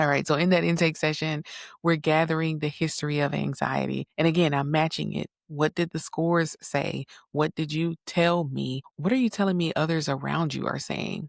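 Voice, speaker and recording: A soft-spoken woman talks at a moderate pace, her pitch very deep and low. The sound is dry and close with no echo, on a very clean recording with a silent background. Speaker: psychotherapist, podcast host. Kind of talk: solo podcast monologue. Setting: home recording late at night. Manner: conversational.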